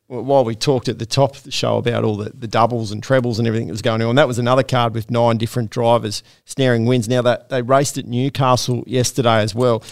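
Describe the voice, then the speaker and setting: Man with an Australian accent at a very fast pace, medium pitch, hardly any pauses, and monotone, flat intonation. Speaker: harness racing podcast host. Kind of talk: casual chat. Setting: studio.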